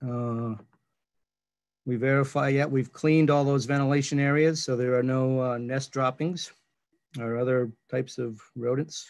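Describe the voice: Here a man talks at a moderate pace with little pitch movement. His tone is slightly mellow.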